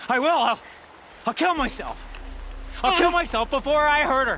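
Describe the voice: A man puts on a character voice at an extremely high pitch, bright and sharp in tone. His intonation is lively, his pace moderate, with faint background noise.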